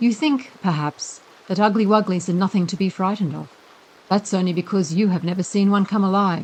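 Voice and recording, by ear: The speaker reads aloud in a natural voice with fairly even intonation.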